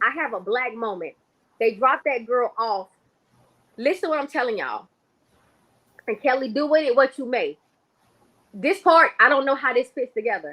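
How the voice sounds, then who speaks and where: A woman uses a raised, projected voice with a high pitch and a bright, sharp tone. Her intonation is lively, broken by long, frequent pauses. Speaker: psychic livestreamer. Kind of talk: livestream monologue. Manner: fast; stutters when excited.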